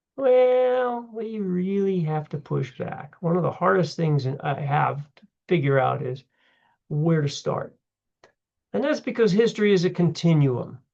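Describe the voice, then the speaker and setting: A man speaks fairly slowly in a high voice. His pitch swings very widely and his loudness shifts in big swings. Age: 70s. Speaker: history instructor. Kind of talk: lecture; casual self-introduction. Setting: recorded on computer for online class. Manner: casual, halting.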